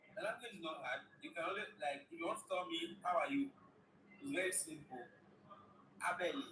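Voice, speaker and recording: Speaking with a Nigerian accent in a raised, projected voice, a high-pitched man moves at a fairly quick pace with very wide pitch swings and long, frequent pauses. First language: Igala. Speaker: guest. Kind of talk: casual chat.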